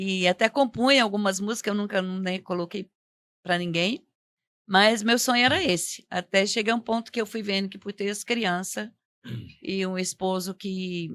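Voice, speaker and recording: In an unremarkable speaking voice of medium pitch, a woman speaks at a moderate pace with fairly even intonation, the sound dry and close with no echo. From Goiás, Brazil (born in Minas Gerais). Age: 60s. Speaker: religious witness guest. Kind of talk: testimony.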